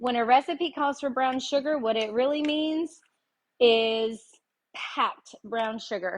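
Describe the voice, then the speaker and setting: A woman at a high pitch with ordinary pitch variation and a very slow pace. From Tennessee. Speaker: home cooking show host. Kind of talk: live cooking tutorial. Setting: livestream in home kitchen. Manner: chatty, relaxed.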